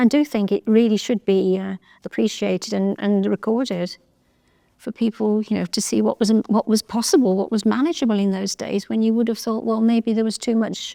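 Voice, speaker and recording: A woman's dark, mellow voice with fairly even intonation, dry and close with no echo, on a very clean recording with a silent background. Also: fairly high pitch for a woman, fairly quick pace. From English Midlands, Birmingham (Erdington). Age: 70s. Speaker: oral history interviewee. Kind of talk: oral history testimony. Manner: hesitant, with fillers.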